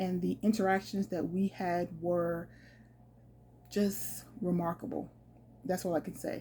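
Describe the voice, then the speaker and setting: A woman speaks at a very slow pace in a fairly low pitch with ordinary pitch variation. Her tone is dark and mellow, with vocal fry. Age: 50s. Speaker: solo traveler and travel vlogger. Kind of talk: casual storytelling to camera.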